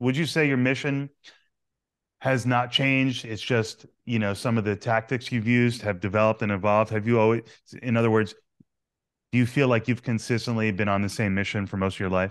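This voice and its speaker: An ordinary speaking voice from a man with an American accent, medium in pitch, fairly quick in pace, fairly even in intonation, against a quiet background. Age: 30s. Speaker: podcast host. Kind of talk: interview.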